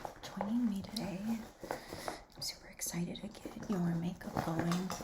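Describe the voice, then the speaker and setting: Noticeable background noise behind fairly slow speech. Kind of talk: ASMR makeup roleplay. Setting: close-up laptop microphone. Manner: whispered.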